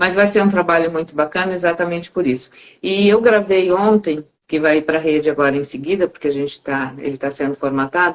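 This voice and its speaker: A woman speaks at a fairly quick pace in a normal speaking voice, her fairly low pitch moving with ordinary variation. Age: 60s. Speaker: live stream host on self-development. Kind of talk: casual conversation on a live stream.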